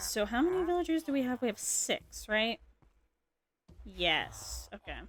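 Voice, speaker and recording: Quietly and at a fairly slow pace, a woman talks with long, frequent pauses and big swings in loudness. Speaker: gaming streamer. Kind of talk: casual live-stream commentary. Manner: quiet, low-key.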